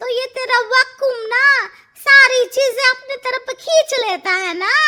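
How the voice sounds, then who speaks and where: A woman uses a cartoonish character voice with lively intonation. She speaks at a fairly slow pace. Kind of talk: comic cartoon voice acting. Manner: blunt, scolding, rustic.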